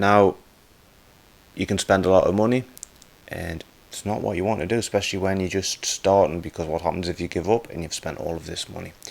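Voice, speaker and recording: In a Geordie accent, a man with a very deep, low pitch speaks at a fairly quick pace with fairly even intonation, big swings in loudness, and long, frequent pauses. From northern England, Newcastle area. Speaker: guitar teacher / YouTuber. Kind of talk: tutorial. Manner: casual, conversational.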